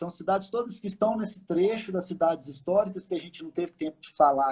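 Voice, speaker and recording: Dark, mellow tones from a man, the pitch varying in an ordinary way. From Minas Gerais, Belo Horizonte. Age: 30s. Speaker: tour operator. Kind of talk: live stream interview.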